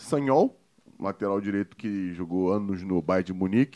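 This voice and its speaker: A man with a fairly low pitch is heard in a dry, close sound with no echo against a quiet background. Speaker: podcast host, former footballer. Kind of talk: casual chat. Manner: animated.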